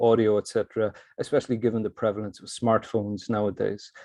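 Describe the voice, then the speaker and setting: A man talks at a fairly quick pace, his medium-pitched voice dark and mellow in tone. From Ireland, Cork. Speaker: academic presenter in learning technology. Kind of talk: conference presentation. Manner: fast.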